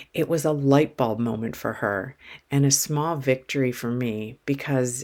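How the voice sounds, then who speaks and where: In a Midwestern American accent, a woman speaks at a very deep, low pitch on a very clean recording with a silent background. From Cleveland, Ohio. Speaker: accent coach. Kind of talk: personal story told to camera.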